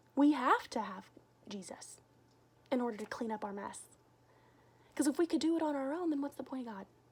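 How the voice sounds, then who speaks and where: Animated and lively in intonation, a woman with a high pitch talks at a fairly quick pace with long, frequent pauses and big swings in loudness, over noticeable background noise. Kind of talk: casual devotional talk to camera.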